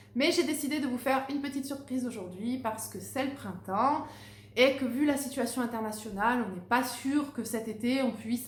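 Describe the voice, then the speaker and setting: Amid noticeable background noise and audible room echo, a woman with a high pitch speaks with ordinary pitch variation. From southern France, Narbonne. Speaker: Pilates instructor. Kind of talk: casual introduction to viewers; guided exercise class instruction. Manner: rhythmic counting, paced with breathing.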